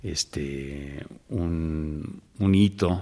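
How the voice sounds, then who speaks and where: The background stays quiet. In it, a man talks with ordinary pitch variation. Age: 60s. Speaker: actor and theatre director. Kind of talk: interview conversation. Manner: hesitant, many fillers.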